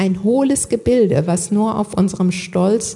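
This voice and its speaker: A woman is speaking. Her pace is very slow. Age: 60s. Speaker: lay preacher. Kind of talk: sermon.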